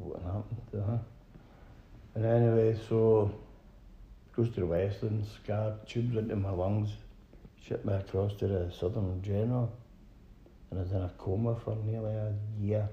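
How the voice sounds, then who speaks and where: A man's fairly low, somewhat breathy voice with a Glaswegian accent, a dark, mellow tone and monotone, flat intonation, at a moderate pace with long, frequent pauses, in audible room echo. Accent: Glaswegian Scottish. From Scotland, Glasgow. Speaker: brain injury survivor. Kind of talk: interview.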